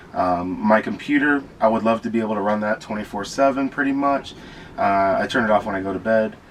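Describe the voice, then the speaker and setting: A man with an American accent, medium pitch, ordinary pitch variation and a fairly quick pace, amid noticeable background noise. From Florida. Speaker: van dweller. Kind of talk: casual chat.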